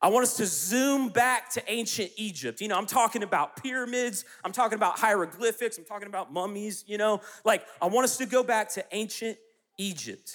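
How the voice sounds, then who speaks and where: At a fairly quick pace, a man with an American accent talks in a high pitch with ordinary pitch variation. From US South, South Carolina. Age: 30s. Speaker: youth pastor. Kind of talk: sermon.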